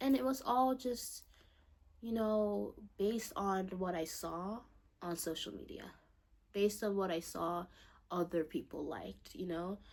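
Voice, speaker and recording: With a non-native accent, a woman talks at medium pitch and a fairly slow pace, using lively intonation and long, frequent pauses. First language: not English. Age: young. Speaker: vlogger. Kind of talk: personal monologue to camera. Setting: bedroom, salt lamp lighting. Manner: rambling, trails off, halting.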